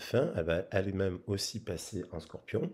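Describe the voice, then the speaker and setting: A man's fairly low, dark, mellow voice moves with ordinary pitch variation on a very clean recording with a silent background. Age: 40s. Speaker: tarot reader. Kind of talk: tarot reading. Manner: halting.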